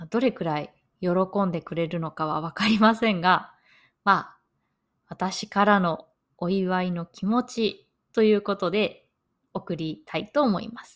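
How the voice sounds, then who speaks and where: Over a silent background in a very clean recording, a woman speaks at a medium pitch with ordinary pitch variation. Her pace is fairly slow, with long, frequent pauses and big swings in loudness. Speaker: podcast host, Japanese language teacher. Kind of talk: learner podcast monologue. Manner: slow and clear.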